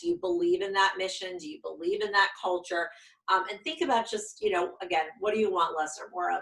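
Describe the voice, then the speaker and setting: An unremarkable speaking voice, a woman at medium pitch with fairly even intonation and a fairly quick pace. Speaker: career coach. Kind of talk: video course lesson; sales pitch. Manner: many filler ums.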